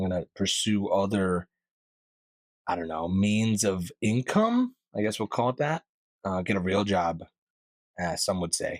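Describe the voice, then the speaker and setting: In a very clean recording with a silent background and a dry, close sound with no echo, the speaker goes at a fairly slow pace with long, frequent pauses and ordinary pitch variation. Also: man, fairly low pitch for a man. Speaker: podcast host; karaoke host. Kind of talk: casual podcast talk. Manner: upbeat, energetic.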